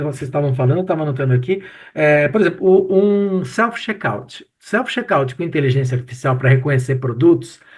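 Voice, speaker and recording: Against a quiet background, a man with an ordinary speaking voice and fairly high pitch talks at a moderate pace with lively intonation and hardly any pauses. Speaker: professor and retail expert. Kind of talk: casual chat.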